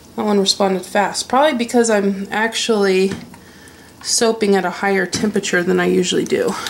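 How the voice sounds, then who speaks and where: Moderate-paced speech from a woman at a medium pitch, noticeable background noise behind it. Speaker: soap maker. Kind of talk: tutorial. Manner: casual.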